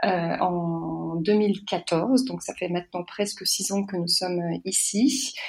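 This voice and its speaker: Somewhat breathy, a woman talks very slowly at a medium pitch with ordinary pitch variation. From France. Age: 40s. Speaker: association president and career coach. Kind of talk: podcast interview.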